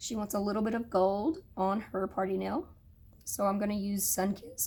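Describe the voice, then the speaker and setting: At a moderate pace, a woman with a somewhat breathy, medium-pitched voice speaks with fairly even intonation. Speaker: nail technician. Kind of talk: tutorial. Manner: casual, with fillers.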